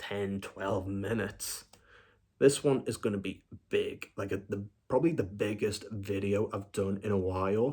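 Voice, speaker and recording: Quiet and somewhat breathy, a man's voice carries a dark, mellow tone and fairly even intonation. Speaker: film review YouTuber. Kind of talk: casual vlog update.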